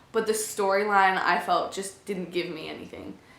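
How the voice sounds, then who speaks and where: A woman's fairly even-toned voice amid audible room echo and noticeable background noise. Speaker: booktuber. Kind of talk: casual book review vlog. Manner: fast.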